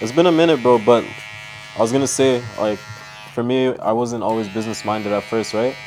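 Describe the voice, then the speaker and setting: A man of medium pitch talks at a fairly quick pace with ordinary pitch variation. Long, frequent pauses break his speech, and background noise is noticeable. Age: 20s. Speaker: young entrepreneur. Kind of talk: casual interview. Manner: casual, filler-heavy.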